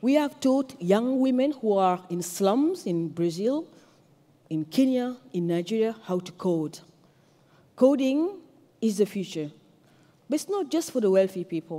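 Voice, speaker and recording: With a French accent and a dark, mellow tone, the speaker makes very wide pitch swings and takes long, frequent pauses. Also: woman, fairly high pitch for a woman, fairly slow pace. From Senegal. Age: 40s. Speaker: activist and tech entrepreneur. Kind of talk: conference keynote speech.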